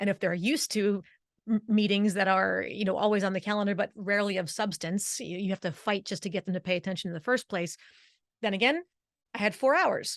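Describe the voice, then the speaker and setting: In a New Jersey accent, a woman speaks at medium pitch in an animated tone with ordinary pitch variation, her voice dry and close with no echo against a quiet background. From New Jersey, Italian-American. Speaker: vocal coach. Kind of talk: interview. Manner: fast.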